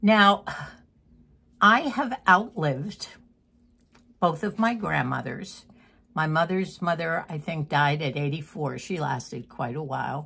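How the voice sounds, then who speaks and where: With vocal fry and a bright, sharp tone, a woman with a fairly low pitch speaks at a fairly slow pace, using lively intonation and long, frequent pauses, in a very clean recording with a silent background. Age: 80s+. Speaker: lifestyle vlogger. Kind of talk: casual chat. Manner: halting.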